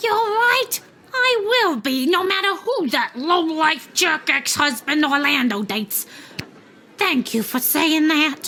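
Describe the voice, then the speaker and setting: Using a put-on character voice, a woman speaks at an extremely high pitch with very wide pitch swings, very even loudness and a fairly slow pace. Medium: video game. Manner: ranting, sarcastic.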